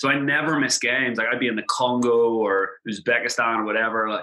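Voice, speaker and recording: The speaker has an Irish accent, and there is noticeable background noise. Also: man. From Ireland. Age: 30s. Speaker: travel blogger. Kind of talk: casual interview chat. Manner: animated.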